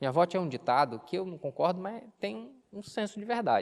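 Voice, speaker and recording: The man's intonation is lively. He moves along at a fairly quick pace. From Brazil, Bahia (near Cachoeira). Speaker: pastor. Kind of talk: sermon. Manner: conversational, engaging the audience.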